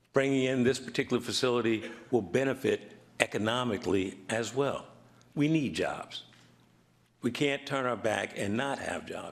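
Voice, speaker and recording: Speaking at a moderate pace, a man uses a normal speaking voice at medium pitch with ordinary pitch variation. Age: 60s. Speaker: resident speaking at public hearing. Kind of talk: public comment at town meeting.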